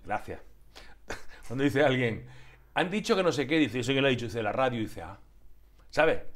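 A man at medium pitch talks fairly quickly with lively intonation and vocal fry, breaking often into long pauses. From Andalusia. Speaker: TV talk show host. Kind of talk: casual interview. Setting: TV studio. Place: studio. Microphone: lapel.

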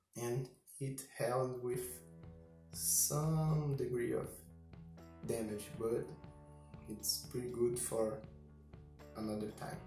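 Speaking at a very slow pace with long, frequent pauses and very wide pitch swings, a man with a non-native accent is heard amid light background noise and audible room echo. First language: not English. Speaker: combat robot builder. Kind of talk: casual talk to camera. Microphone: camera far.

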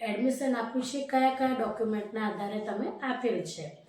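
A woman with a high pitch and fairly even intonation speaks amid noticeable background noise and audible room echo. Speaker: advocate giving legal advice. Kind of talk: tutorial.

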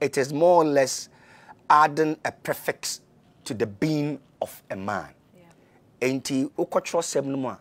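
The man speaks with ordinary pitch variation. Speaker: guest. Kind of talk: interview answer. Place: studio.

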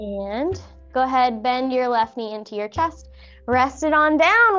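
Faint background music behind a female speaker. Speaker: fitness instructor. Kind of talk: exercise class instruction. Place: empty room.

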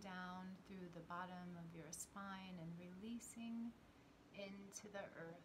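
Noticeable background noise sits behind a soft-spoken woman who talks very slowly in a calm tone, at a medium pitch and with ordinary pitch variation. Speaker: spiritual teacher and meditation guide. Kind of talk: guided grounding meditation with breathing and visualization cues. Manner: slow, soothing, gently instructive pacing with repeated 'and' transitions; calm, reassuring, softly encouraging tone. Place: home room.

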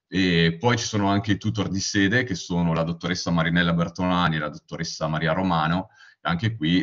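This man has a very deep, low pitch. It varies in an ordinary way. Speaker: university student. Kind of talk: slide presentation. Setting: video call webinar.

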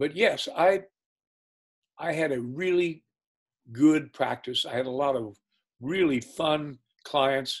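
Over a quiet background, a man with a fairly high pitch and ordinary pitch variation talks at a very slow pace with long, frequent pauses. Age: 80s+. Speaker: retired business executive and lawyer. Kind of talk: interview answer. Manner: storytelling. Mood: warm, relaxed. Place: home room. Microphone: video call.

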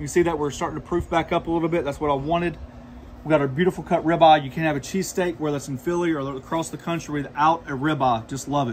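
Somewhat breathy speech comes at a very fast pace with fairly even intonation. Light background noise is present. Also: man. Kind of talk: cooking tutorial. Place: home room.

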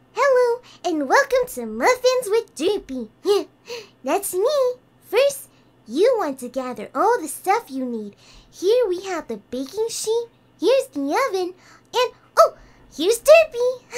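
This woman's extremely high voice makes very wide pitch swings and big swings in loudness as she speaks fairly slowly, with long, frequent pauses. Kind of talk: homemade cooking show. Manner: cheerful, ditzy.

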